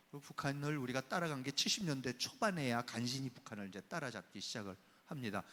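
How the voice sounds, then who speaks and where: An animated male voice at medium pitch, moderate pace and lively intonation. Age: 60s. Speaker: professor. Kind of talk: lecture.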